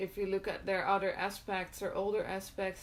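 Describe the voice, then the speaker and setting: A woman with a non-native accent. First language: not English. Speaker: occult content creator. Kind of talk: live stream talk. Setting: live video stream. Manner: halting, many filler words.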